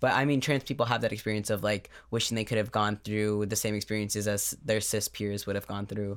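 An unremarkable speaking voice belongs to a man with a fairly low pitch, talking at a fairly quick pace with hardly any pauses. His intonation stays fairly even, and the recording is very clean with a silent background. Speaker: podcast co-host. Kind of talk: casual chat.

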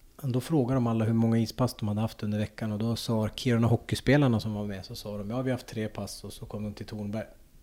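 A man talks at a very fast pace and medium pitch. His dark, mellow tone stays monotone and flat. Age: 40s. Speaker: former ice hockey player and coach. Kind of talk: casual interview.

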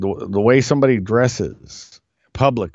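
A man's unremarkable speaking voice at a fairly slow pace. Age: 50s. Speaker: podcast host. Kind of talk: political commentary monologue. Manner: casual, conversational.

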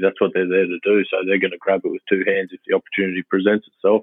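A man with an Australian accent speaks in a very deep, low voice. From Queensland, Australia (early childhood in Papua New Guinea). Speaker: rugby head coach. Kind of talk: casual interview. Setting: phone call.

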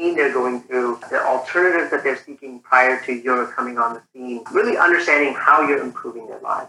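A man talks at a fairly quick pace. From Nigeria, then southern Ontario, Canada from age 12. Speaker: startup founder and CEO. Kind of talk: interview.

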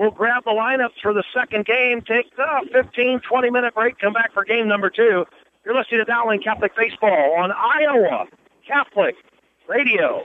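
A man with an extremely high pitch talks at a moderate pace in an excited, animated tone, with ordinary pitch variation and very even loudness. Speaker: radio sports commentator. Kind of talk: live baseball commentary. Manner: excited, exclaiming, animated.

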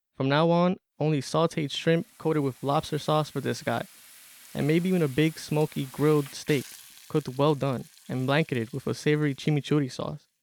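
An unremarkable speaking voice from a man, fairly high in pitch, at a moderate pace with fairly even intonation, in a dry, close sound with no echo, on a very clean recording with a silent background. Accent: American. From Corona, Queens, New York. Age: 20s. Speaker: student writer. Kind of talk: reading aloud.

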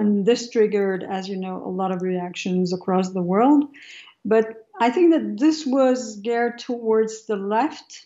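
Her intonation lively and her pitch fairly high, a woman with a French accent talks at a fairly slow pace. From France, of Algerian background. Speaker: sociology professor. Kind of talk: radio interview.

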